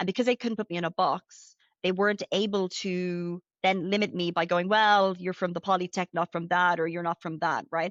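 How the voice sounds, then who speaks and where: A woman with an Irish accent speaks at a fairly quick pace in a medium pitch, keeping her intonation fairly even. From Ireland. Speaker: retail finance executive. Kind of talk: interview. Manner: fast, many fillers.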